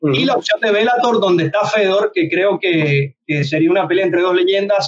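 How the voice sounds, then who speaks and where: The voice is a man's. He speaks at a moderate pace. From Venezuela. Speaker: MMA podcast host. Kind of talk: casual chat.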